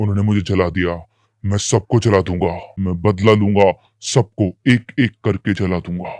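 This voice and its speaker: A man puts on a character voice with a fairly low pitch, moving at a moderate pace over a quiet background. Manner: angry, vengeful.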